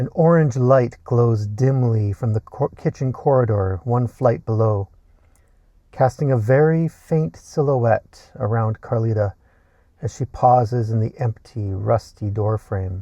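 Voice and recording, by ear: A man with a dark, mellow tone speaks at a medium pitch and a fairly slow pace, with ordinary pitch variation.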